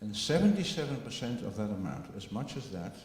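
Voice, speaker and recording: A man with a Dutch accent, amid audible room echo and noticeable background noise. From Netherlands. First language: Dutch (speaking French). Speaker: biotech company director. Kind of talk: conference presentation. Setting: meeting with audience. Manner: slow, deliberate for interpreter; halting with fillers.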